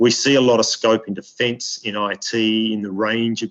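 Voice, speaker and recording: At a fairly slow pace, a man speaks at medium pitch in a dry, close sound with no echo. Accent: Australian. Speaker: diplomat. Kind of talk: webinar speech. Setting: video webinar. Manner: halting, many repetitions.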